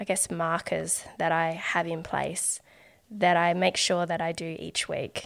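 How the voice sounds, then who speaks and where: On a very clean recording with a silent background, a woman with an Australian accent speaks at a very slow pace. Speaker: artist and podcaster. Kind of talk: casual interview chat.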